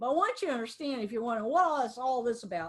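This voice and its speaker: Her voice high-pitched, a woman speaks with an American accent. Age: 60s. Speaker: lawyer. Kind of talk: webinar presentation. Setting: video webinar from office.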